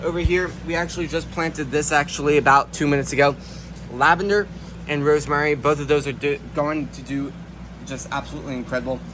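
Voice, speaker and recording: A man at a fairly quick pace, fairly even in intonation, amid noticeable background noise. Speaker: gardening video creator. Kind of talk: video tour walkthrough. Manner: fast.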